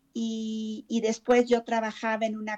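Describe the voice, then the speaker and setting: The background stays quiet. Against it, a woman talks in a fairly high voice. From Mexico City. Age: 50s. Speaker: therapist. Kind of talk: interview testimony.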